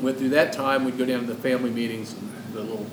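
Very fast speech amid noticeable background noise and audible room echo. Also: man. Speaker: podcast guest. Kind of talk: casual chat.

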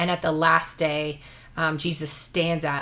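Her very deep, low pitch held in a monotone, flat intonation, a woman speaks at a fairly slow pace. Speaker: pastor and podcast host. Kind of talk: casual conversational podcast discussing the Bible. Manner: warm, joking, conversational.

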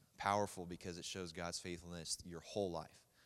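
With an Oklahoma accent, a man speaks at a moderate pace in a very deep, low pitch and a flat, monotone intonation. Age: young. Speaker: baseball player. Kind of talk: testimony. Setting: church.

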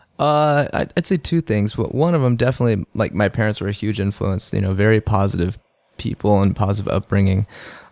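In a very clean recording with a silent background and a dry, close sound with no echo, a man talks very fast with a fairly low pitch and ordinary pitch variation. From Texas, Houston. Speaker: athlete and fitness coach. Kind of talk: casual interview. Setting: studio.

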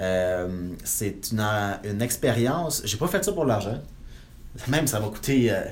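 With audible room echo around him, a man speaks at a fairly slow pace in a medium pitch with lively intonation. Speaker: real estate investor and broker. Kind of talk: interview.

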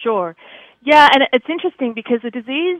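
Lively intonation marks a woman's fairly quick speech with an Australian accent. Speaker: veterinary dermatologist. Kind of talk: interview.

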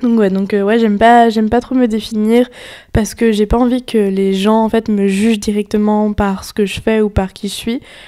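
Monotone, flat intonation from a woman with a fairly high pitch, a dark, mellow tone and a moderate pace. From western France, near Nantes. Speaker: podcast co-host, entrepreneur. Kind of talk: casual chat.

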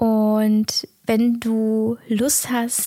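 A somewhat breathy woman's voice, fairly high in pitch, with a gentle, warm tone that is also dark and mellow. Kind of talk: guided meditation. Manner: slow, soft-spoken, calm and soothing with long pauses; gentle, warm, intimate, addressing listener directly as du.

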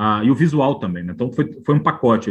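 This man talks at a very fast pace. His voice is somewhat breathy, with lively intonation. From Northeast Brazil, João Pessoa (Paraíba). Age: 50s. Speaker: biographer and journalist. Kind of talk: interview conversation.

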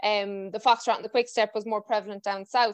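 A woman with a western Irish accent speaks very fast, the sound dry and close with no echo over a quiet background. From Ireland. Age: 20s. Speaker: podcast host and dance teacher. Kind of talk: casual interview chat.

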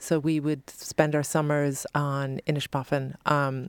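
Dry and close with no echo, a woman's voice sits at a very deep, low pitch. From born Long Island, New York; raised in Ireland from age twelve. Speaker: fashion stylist and author. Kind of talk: interview. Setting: studio.

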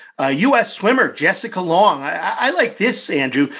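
A man projects a raised voice with a bright, sharp tone, speaking fairly slowly with very wide pitch swings. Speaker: podcast host. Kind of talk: interview.

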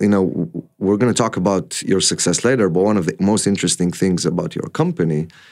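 With an Israeli accent, a man speaks at a fairly quick pace with ordinary pitch variation. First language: Hebrew. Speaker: podcast host and entrepreneur. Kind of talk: interview.

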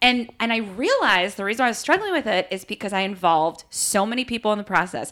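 Talking at a very fast pace with hardly any pauses, a woman with an American accent uses a medium pitch and ordinary pitch variation over noticeable background noise. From US East Coast. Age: 40s. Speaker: podcast host. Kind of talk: casual chat.

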